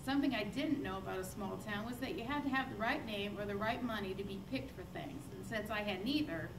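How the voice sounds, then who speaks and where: A woman with an American accent speaks very fast at a medium pitch, her intonation lively and hardly any pauses, with noticeable background noise and audible room echo. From northwest Indiana, Chicagoland. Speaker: church member giving testimony. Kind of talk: testimony. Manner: loud.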